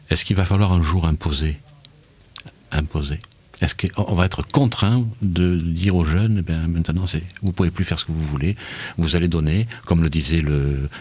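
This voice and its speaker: Through noticeable background noise, a man's very deep, low voice carries ordinary pitch variation. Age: 60s. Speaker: radio host. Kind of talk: radio talk show debate.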